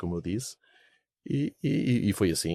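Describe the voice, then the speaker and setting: Dry, close sound with no echo around a man's dark, mellow tone. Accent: European Portuguese. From Portugal. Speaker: investment fund founder, businessman. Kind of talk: interview. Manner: hesitant, many fillers.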